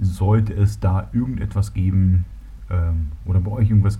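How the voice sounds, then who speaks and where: Lively in intonation, a man with a slight Berlin accent speaks in a very deep, low voice over noticeable background noise. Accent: faint Berlin. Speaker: solo podcaster. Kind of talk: casual monologue. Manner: hesitant, many fillers.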